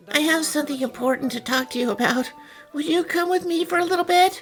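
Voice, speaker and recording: Against clear music in the background, a woman rattles off lines at a very fast pace in a put-on character voice. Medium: fan dub. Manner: hesitant, stammering.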